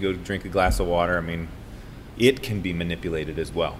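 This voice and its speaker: With audible room echo, a man speaks in an American accent. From Colorado, Boulder. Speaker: brewery co-owner. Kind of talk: casual chat.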